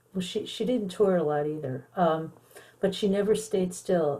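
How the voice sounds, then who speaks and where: A woman's somewhat breathy voice, dark and mellow in tone, with ordinary pitch variation. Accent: American. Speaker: songwriter and schoolteacher. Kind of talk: interview.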